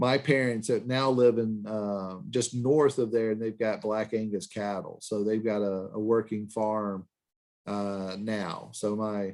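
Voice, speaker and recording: A speaker with an Alabama accent talks at a fairly slow pace. The intonation stays fairly even. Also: man, fairly low pitch for a man. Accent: Southern US (Alabama). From US South, Birmingham, Alabama. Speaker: finance professor. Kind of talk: lecture. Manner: halting, many fillers.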